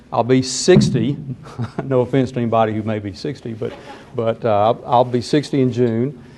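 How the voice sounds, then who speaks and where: Medium-pitched male speech, moderately paced, against noticeable background noise. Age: 50s. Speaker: judge. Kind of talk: talk to students. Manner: halting, repeats words.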